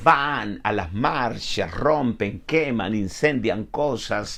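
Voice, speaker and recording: A man speaks at a very slow pace and medium pitch, with lively intonation. There is audible room echo. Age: 70s. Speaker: pastor. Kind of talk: sermon. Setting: online broadcast.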